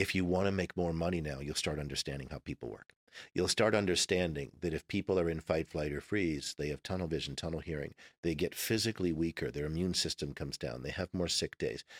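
A man speaks at a very fast pace, his pitch very deep and low. There is vocal fry, and the sound is dry and close with no echo. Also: ordinary pitch variation. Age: 50s. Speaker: former Navy SEAL and speaker. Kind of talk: casual interview conversation.

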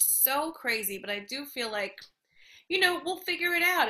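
At a moderate pace, a woman projects a raised voice with a bright, sharp tone and lively intonation. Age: 40s. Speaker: comedian. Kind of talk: casual chat. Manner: animated.

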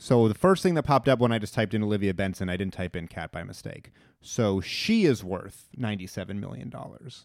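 In a normal speaking voice, a man talks at a fairly quick pace with a fairly low pitch and ordinary pitch variation. His loudness swings widely on a very clean recording with a silent background. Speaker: comedy podcast co-host. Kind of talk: casual chat.

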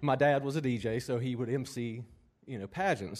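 A man speaks with a Southern US accent at a medium pitch. His pace is moderate and his pitch varies in an ordinary way. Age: 50s. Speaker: drummer. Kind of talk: interview.

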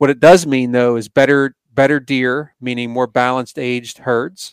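A man with an American accent speaks in a monotone, flat intonation at medium pitch and moderate pace. The recording is very clean with a silent background and a dry, close sound with no echo. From Pennsylvania. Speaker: conservation organization executive. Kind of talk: interview.

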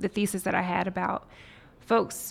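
A woman with an American accent, medium pitch, moderate pace. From US South, Nashville, Tennessee. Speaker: tech entrepreneur. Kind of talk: interview.

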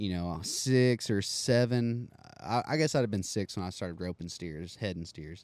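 Here a man speaks at a fairly low pitch and a moderate pace. His intonation is lively. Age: 20s. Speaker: professional bareback rider. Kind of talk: casual interview chat.

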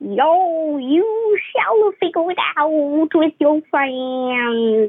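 A woman puts on a character voice, high in pitch and at a very slow pace. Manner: sensible advice delivered in a gruff comic tone.

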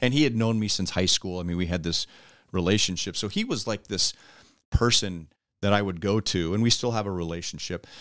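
Fairly quick and fairly low-pitched, a man has an unremarkable speaking voice with ordinary pitch variation. The recording is very clean, with a silent background. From US West Coast, Los Angeles. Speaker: baseball broadcaster. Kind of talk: casual chat.

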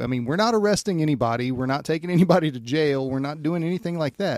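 Recorded dry and close with no echo, a man with an ordinary speaking voice talks at a fairly quick pace, his fairly high pitch rising and falling in lively intonation. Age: 40s. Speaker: podcast host and firefighter. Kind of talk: casual podcast interview.

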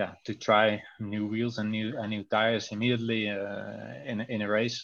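Speaking with a Dutch accent, a man uses a fairly low pitch and monotone, flat intonation at a fairly slow pace. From Netherlands. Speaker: cycling team coach and sports scientist. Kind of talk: interview. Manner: halting, many hesitations.

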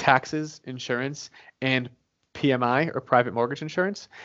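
A man speaks in an ordinary speaking voice at a medium pitch. His intonation stays fairly even. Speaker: real estate investor and author. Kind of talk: interview.

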